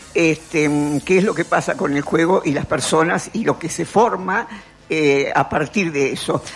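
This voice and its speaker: There is noticeable background noise behind a woman's voice. She talks fairly slowly in a fairly low pitch. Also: ordinary pitch variation. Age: 80s+. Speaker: philosopher and columnist. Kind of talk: radio column, casual talk. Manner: halting, repeats words.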